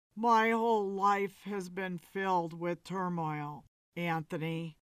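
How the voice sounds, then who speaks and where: The pace is fairly slow. A put-on character voice sits at a middle pitch. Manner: slurred, weary.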